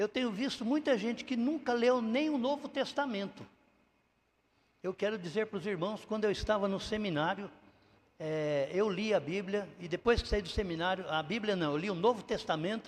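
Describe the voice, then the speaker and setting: Here a man speaks at a high pitch with lively intonation. His pace is moderate. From Brazil, interior of São Paulo state. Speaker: pastor. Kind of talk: sermon. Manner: halting, with frequent fillers.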